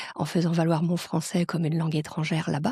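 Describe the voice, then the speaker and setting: A woman with a somewhat breathy, fairly low voice talks at a fairly quick pace. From France. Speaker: global mobility professional. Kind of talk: interview. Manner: hesitant fillers.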